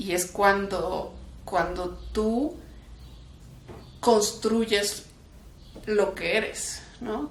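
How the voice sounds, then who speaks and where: A woman's medium-pitched voice in a Mexican accent, very slow, with long, frequent pauses, ordinary pitch variation, noticeable background noise and audible room echo. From Mexico (left Kraków, Poland at 11). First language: Polish (speaking Spanish). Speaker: human rights defender. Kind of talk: interview. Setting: museum talk. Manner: casual, with frequent fillers.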